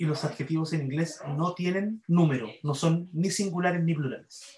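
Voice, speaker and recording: Audible room echo surrounds a man speaking at a fairly slow pace with a high pitch and fairly even intonation. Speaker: university English grammar teacher. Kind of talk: lecture.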